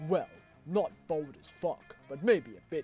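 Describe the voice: A man uses a put-on character voice with a high pitch, talking at a fairly slow pace while clear music plays in the background.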